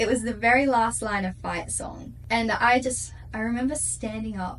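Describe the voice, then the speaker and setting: Amid noticeable background noise and audible room echo, a woman with an Australian accent speaks at a fairly slow pace. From Perth, Western Australia. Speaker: singer-songwriter. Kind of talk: interview. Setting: studio. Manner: animated.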